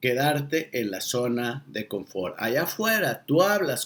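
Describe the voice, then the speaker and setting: A man's fairly high voice with a Mexican accent. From Mexico. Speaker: monologue speaker and coach. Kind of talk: sarcastic motivational monologue to camera. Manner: irreverent, emphatic, colloquial.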